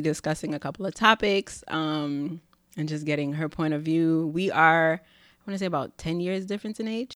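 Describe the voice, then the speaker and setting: A woman speaks at a moderate pace in a New York accent, her pitch fairly low. The recording is very clean, with a silent background. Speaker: podcast host. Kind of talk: casual chat. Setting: studio.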